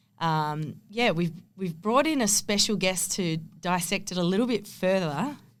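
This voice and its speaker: In an Australian accent, a woman speaks at a moderate pace and medium pitch. Her intonation is lively. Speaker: AFLW footballer and podcast co-host. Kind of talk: casual chat.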